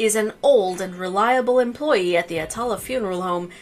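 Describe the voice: Ordinary pitch variation in plain reading aloud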